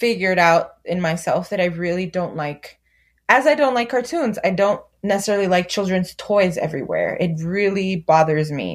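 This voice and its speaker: Recorded very cleanly against a silent background, a woman with an American accent speaks at a medium pitch. Her tone is animated, her pace fairly slow, and her pitch varies in an ordinary way. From US West Coast, Los Angeles, San Fernando Valley. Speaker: community organizer and mother. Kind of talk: casual chat. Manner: animated, laughing.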